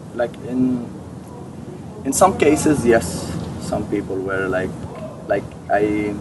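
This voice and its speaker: A man speaks at a very slow pace with long, frequent pauses. Noticeable background noise can be heard. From Syria. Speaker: refugee and interpreter. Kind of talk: interview. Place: garden. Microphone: camera far.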